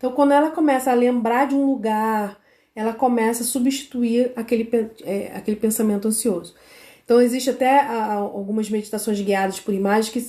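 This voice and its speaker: Speaking at a moderate pace, a woman uses a fairly high pitch with ordinary variation and a dark, mellow tone. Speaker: parenting educator for mothers of children with ADHD. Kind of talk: live stream talk. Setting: live on social media.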